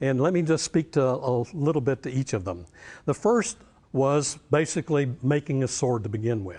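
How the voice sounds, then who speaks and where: A man's medium-pitched voice in a North Carolina accent, at a moderate pace with ordinary pitch variation against a quiet background. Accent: Southern US (North Carolina). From US South, Western North Carolina. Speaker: professor. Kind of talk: lecture.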